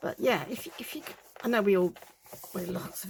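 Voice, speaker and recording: The speaker has a British accent. The pace is fairly quick, with ordinary pitch variation. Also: woman. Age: 60s. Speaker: crafting video creator. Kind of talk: craft-along casual talk. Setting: home crafting desk, filmed on tripod. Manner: chatty, rambling with many fillers.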